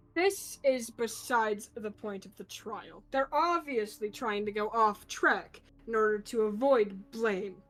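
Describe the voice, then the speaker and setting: A female-sounding voice puts on a character at a fairly high pitch. The delivery is fairly slow, with hardly any pauses. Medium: actual play. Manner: contemptuous, aggressive.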